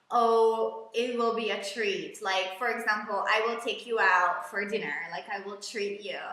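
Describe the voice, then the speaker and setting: In a room with audible echo, a woman speaks at a medium pitch with a bright, sharp, animated tone and big swings in loudness. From Hungary. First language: Hungarian. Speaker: English teacher. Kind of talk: live online lesson.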